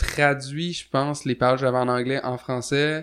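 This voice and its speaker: There is a quiet background as a man speaks in a monotone, flat intonation. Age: 20s. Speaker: musician. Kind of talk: casual chat.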